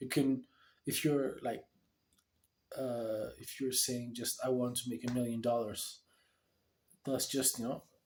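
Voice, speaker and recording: Fairly even intonation carries this fairly slow speech. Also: man. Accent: Ethiopian. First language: Amharic. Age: 20s. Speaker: vlogger. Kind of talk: video diary monologue. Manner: halting; casual.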